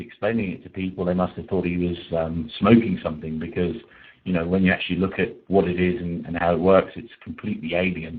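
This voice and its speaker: A man with a British accent talks very fast in a very deep, low voice. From UK. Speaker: PPC coach. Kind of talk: webinar lecture. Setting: webinar call. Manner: halting, many fillers.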